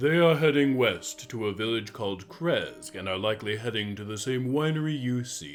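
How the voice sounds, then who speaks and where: Over faint music in the background, a man uses a put-on character voice of medium pitch with lively intonation, a moderate pace and hardly any pauses. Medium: actual play. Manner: smooth, measured.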